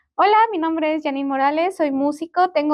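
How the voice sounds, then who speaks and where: A woman speaks at a fairly quick pace. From Mexico, Puebla. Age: 20s. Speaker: musician. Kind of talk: interview. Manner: casual, filler-heavy.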